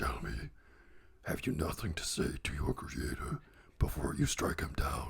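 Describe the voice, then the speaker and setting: A man talks in a raspy, put-on character voice at a moderate pace. He leaves long, frequent pauses. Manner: menacing.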